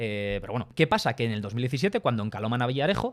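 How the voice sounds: On a very clean recording with a silent background, a man talks at a very fast pace and a medium pitch, his voice making big pitch swings.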